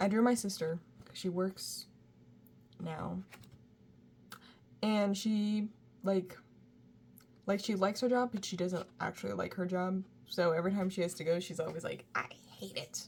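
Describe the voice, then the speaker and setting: Mumbling at a fairly slow pace, a woman speaks at medium pitch in a somewhat breathy voice with ordinary pitch variation and long, frequent pauses. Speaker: art student and sketchbook youtuber. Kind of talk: casual sketchbook tour talk. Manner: casual, lots of fillers.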